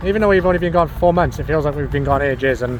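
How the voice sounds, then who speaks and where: With a Welsh accent, a man speaks at a fairly high pitch with very wide pitch swings over noticeable background noise. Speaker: travel vlogger. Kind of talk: casual vlog chat.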